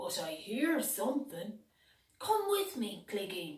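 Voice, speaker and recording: A put-on character voice moves at a fairly slow pace with very wide pitch swings and a slight echo. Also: female-sounding voice, high pitch for a woman. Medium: read story. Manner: earnest, gentle.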